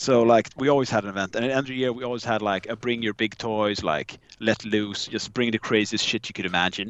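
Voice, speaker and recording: A man with a Swedish accent at a very fast pace, his intonation fairly even. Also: medium pitch for a man, hardly any pauses. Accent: Swedish, merges V and W. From Sweden. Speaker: podcaster guest, charity raffle organizer. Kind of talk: casual chat.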